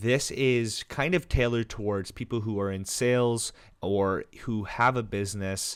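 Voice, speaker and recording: With an ordinary speaking voice, a man talks in a fairly low pitch with ordinary variation on a very clean recording against a silent background. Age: 20s. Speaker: entrepreneur and insurance advisor. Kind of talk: casual talking-head tutorial. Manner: casual, with fillers.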